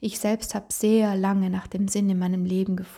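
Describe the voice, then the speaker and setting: A woman's medium-pitched voice, somewhat breathy with a dark, mellow tone, at a moderate pace. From Italy, South Tyrol. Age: 20s. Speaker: podcast host, beautician. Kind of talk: solo podcast monologue.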